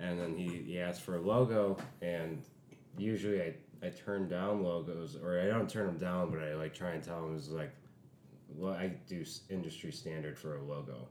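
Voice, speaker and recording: A man's very deep, low voice at a moderate pace, with ordinary pitch variation. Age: 20s. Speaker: comedian guest. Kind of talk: casual chat, interview.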